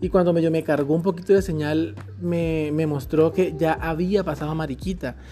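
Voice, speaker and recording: The voice has an animated tone and a moderate pace. Music plays in the background. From Colombian Caribbean coast (Magdalena). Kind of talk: casual chat. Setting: outdoors by a pool.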